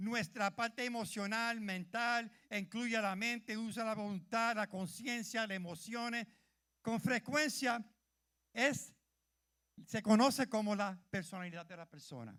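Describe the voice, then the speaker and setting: Speaking fairly slowly in a bright, sharp tone, a high-pitched man shows big swings in loudness. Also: ordinary pitch variation. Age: 70s. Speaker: church leader, preacher. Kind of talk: sermon. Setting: church with congregation.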